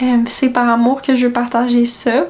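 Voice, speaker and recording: A high-pitched woman speaks against noticeable background noise. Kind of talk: casual vlog talk. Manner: hesitant, many fillers.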